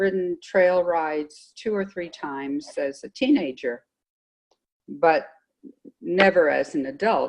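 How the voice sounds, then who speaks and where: With an American accent, a woman of medium pitch speaks at a very slow pace. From US, Los Angeles. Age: 70s. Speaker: horse rider. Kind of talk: interview.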